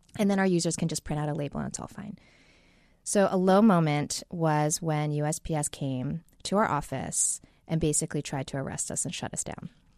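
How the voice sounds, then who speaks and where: Over a quiet background, a woman with a very deep, low pitch speaks at a fairly quick pace. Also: ordinary pitch variation. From New York. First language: Chinese. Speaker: tech company co-founder. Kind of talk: interview.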